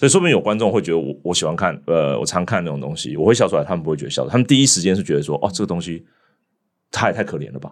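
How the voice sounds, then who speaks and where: On a very clean recording with a silent background, a man talks at a very fast pace in a very deep, low pitch with vocal fry and very wide pitch swings. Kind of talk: casual chat.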